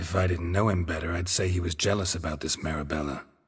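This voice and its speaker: Talking very fast, a man uses a put-on character voice that is raspy and very deep. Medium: video game. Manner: terse, dry, deadpan.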